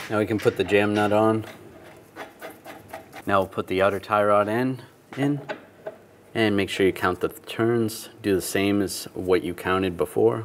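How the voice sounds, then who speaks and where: A man speaks at a moderate pace with long, frequent pauses. Light background noise is audible. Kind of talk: tutorial. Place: garage.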